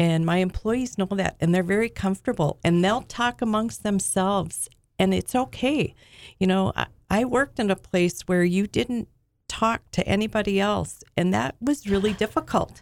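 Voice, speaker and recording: In an American accent, a woman with an unremarkable speaking voice talks at a moderate pace with medium pitch, ordinary pitch variation and very even loudness, recorded dry and close with no echo, very clean against a silent background. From US Midwest, Alexandria, Minnesota. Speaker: business owner. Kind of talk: casual chat.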